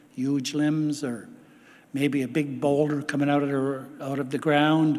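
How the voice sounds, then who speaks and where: A man speaks at a fairly high pitch in a monotone, flat intonation. Room echo is audible. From Canada, Quebec, Algonquin territory. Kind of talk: keynote speech, storytelling.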